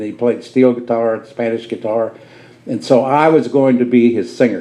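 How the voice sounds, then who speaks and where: The man talks at a fairly quick pace with medium pitch and ordinary pitch variation. Noticeable background noise can be heard. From southern Indiana. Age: 80s+. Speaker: studio owner and music educator. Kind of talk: storytelling talk to live audience. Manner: animated.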